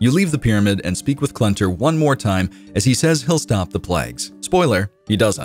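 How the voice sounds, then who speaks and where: Over music in the background, a man with a fairly low pitch talks at a moderate pace, his pitch swinging very widely while his loudness stays very even. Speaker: community content creator narrating a quest recap. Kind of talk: video game lore recap narration. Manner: casual, humorous, explanatory.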